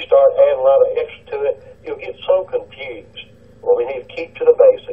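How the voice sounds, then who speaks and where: A man with an American accent speaks at an extremely high pitch in a monotone, flat way. There is noticeable background noise. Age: 60s. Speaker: caller, retired police officer. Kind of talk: call-in radio talk. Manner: halting.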